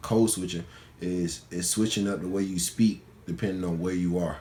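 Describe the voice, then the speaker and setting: With audible room echo, a man in a strong Atlanta accent speaks at a fairly quick pace in a very deep, low voice. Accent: Southern Atlanta accent, strong. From Atlanta, Georgia, US South. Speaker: college student. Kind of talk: interview. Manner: casual, informal with many fillers.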